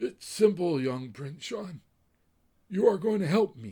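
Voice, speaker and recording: In a put-on character voice, a man speaks fairly slowly, raspy and high-pitched. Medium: read story. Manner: slow, gentle, formal.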